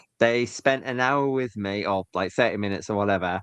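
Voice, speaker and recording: Speaking with a Yorkshire accent, a man shows ordinary pitch variation over a quiet background, with a dry, close sound and no echo. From Hull.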